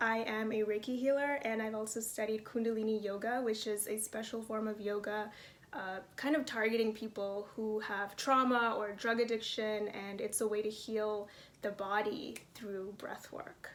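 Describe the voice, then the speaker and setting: An ordinary speaking voice from a woman with an American accent, fairly high pitch, and a moderate pace. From New York, the Bronx. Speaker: actor. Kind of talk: self-introduction reel, casual monologue.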